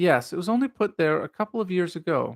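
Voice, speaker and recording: This man speaks with a high-pitched voice. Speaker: live stream reader. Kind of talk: read-aloud of a classic mystery story.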